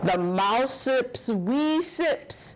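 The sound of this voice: Speaking at a very slow pace, a woman uses lively intonation.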